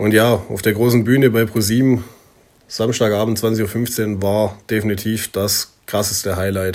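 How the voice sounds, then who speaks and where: In a monotone, flat intonation, a man speaks with a fairly low voice. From southern Germany, near Stuttgart. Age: 20s. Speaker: singer-songwriter. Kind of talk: self-interview. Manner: casual.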